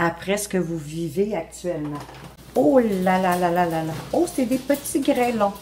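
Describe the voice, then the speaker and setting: A woman with a Quebec accent, very slow in pace, with lively intonation. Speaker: tarot card reader. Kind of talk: tarot reading monologue. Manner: hesitant, many fillers.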